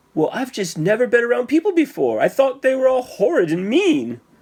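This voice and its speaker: A put-on character voice, squeaky and fairly high in pitch, moves along at a fairly quick pace. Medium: read story. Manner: shy, stammering.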